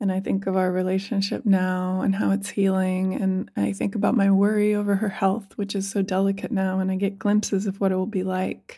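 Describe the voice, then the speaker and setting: A woman speaks in a dark, mellow tone with flat, monotone intonation, recorded very cleanly against a silent background. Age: 40s. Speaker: podcast host, tarot teacher. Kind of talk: monologue lecture on tarot.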